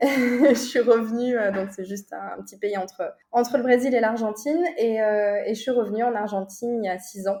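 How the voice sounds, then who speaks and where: At a moderate pace, a woman speaks with fairly high pitch and fairly even intonation. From southern France, Toulouse. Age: 30s. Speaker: property investor. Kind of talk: interview. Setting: remote call.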